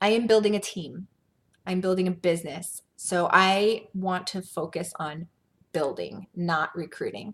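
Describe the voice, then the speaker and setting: Somewhat breathy, a woman speaks fairly slowly at a medium pitch with fairly even intonation. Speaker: network marketing team leader. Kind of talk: training video.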